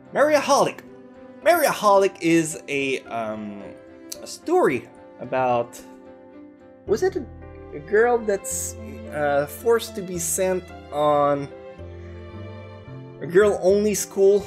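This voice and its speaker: Speaking very slowly in a French Canadian accent, a man leaves long, frequent pauses while faint music plays in the background. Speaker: anime youtuber. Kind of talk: casual anime review talk to camera. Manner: casual, hesitant. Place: home room.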